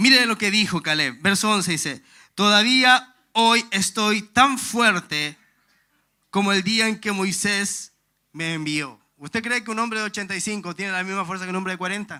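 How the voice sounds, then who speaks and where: On a very clean recording with a silent background, a man uses a raised, projected voice, high-pitched with a bright, sharp tone, ordinary pitch variation and a moderate pace. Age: 30s. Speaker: pastor. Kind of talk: sermon.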